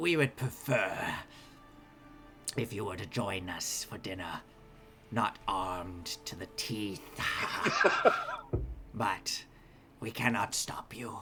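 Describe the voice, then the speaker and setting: A put-on character voice moves at a fairly slow pace with long, frequent pauses over clear background noise. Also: man, fairly low pitch for a man. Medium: actual play. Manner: hesitant, formal, halting.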